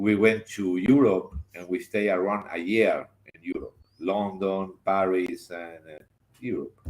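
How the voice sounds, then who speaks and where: With a Spanish accent, a man talks at a fairly slow pace in a fairly low voice. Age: 60s. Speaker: theater director and designer. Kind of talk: interview. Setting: live stream. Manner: animated.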